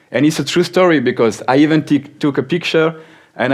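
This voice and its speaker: Ordinary pitch variation in a man's fairly quick speech. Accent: French. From France. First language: French. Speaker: software company speaker. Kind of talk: conference talk.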